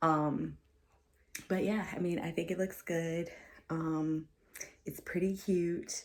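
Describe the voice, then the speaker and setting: A quiet woman's voice, very deep and low in pitch, very slow, with fairly even intonation. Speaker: teacher and vlogger. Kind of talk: casual vlog tour. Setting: home office. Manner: quiet, low voice.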